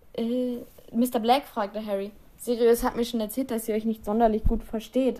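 Fairly even intonation in a natural reading voice

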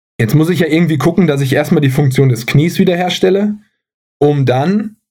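A man is speaking here. His voice is somewhat breathy, with a dark, mellow tone. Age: 30s. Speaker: athletic trainer and physiotherapist. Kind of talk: casual chat.

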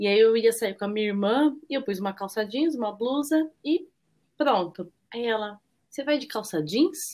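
A woman with a normal speaking voice talks at a moderate pace in a fairly high pitch with lively intonation, on a very clean recording with a silent background. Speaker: nonprofit worker, mother. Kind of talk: casual chat.

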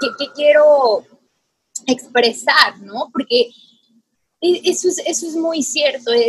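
A woman's high voice at a very slow pace, with long, frequent pauses. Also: lively intonation. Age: 30s. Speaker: podcast host. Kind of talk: casual chat.

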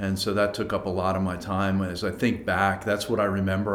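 With an American accent, a man speaks at a fairly quick pace in a very deep, low pitch, and audible room echo fills the recording. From Philadelphia suburbs, Pennsylvania. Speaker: company team member. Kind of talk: podcast interview.

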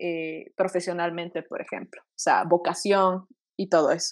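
A woman's plain, everyday voice at medium pitch, fairly slow in pace and fairly even in intonation, over a quiet background. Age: 20s. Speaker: medical student and astrology enthusiast. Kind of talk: casual explanatory chat. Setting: video call.

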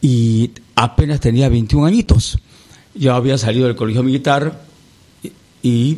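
The man's voice comes across as somewhat breathy. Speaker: singer. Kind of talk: interview.

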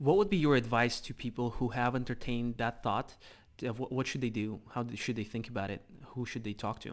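In a very clean recording with a silent background, a man with a Russian accent speaks at a fairly quick pace, medium in pitch with ordinary pitch variation. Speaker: podcast host. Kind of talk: casual interview chat.

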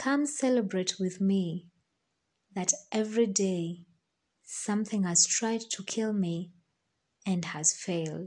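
Somewhat breathy and dark, mellow in tone, the voice moves at a very slow pace with ordinary pitch variation and long, frequent pauses. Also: woman, medium pitch for a woman. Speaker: podcaster. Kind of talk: poetry reading. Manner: measured, reflective.

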